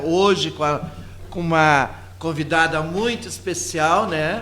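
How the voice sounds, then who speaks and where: Over noticeable background noise and audible room echo, a man speaks with a fairly high pitch and ordinary pitch variation. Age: 60s. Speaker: radio host and religious leader. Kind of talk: casual radio talk. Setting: live web radio studio.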